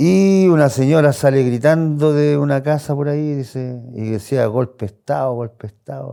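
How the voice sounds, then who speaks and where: A man speaks at a medium pitch with a dark, mellow tone, ordinary pitch variation and a moderate pace. There are hardly any pauses, and his loudness swings a lot. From Chile, Santiago. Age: 60s. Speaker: interviewee, longtime neighborhood resident. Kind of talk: oral history testimony. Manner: hesitant, with fillers and restarts.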